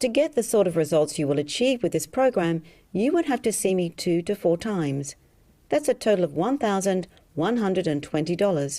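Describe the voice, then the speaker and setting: A woman's dark, mellow voice in an Australian accent, at a fairly quick pace, with very wide pitch swings and very even loudness, in a very clean recording with a silent background. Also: medium pitch for a woman. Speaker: hypnotherapist selling a program. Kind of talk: sales pitch.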